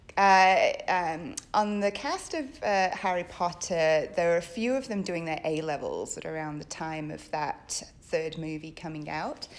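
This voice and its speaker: A woman's voice with ordinary pitch variation and hardly any pauses, in audible room echo. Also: fairly low pitch for a woman, fairly slow pace. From northern England. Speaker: theatre director and academic. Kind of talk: interview. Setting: theatre stage. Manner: hesitant, many ums.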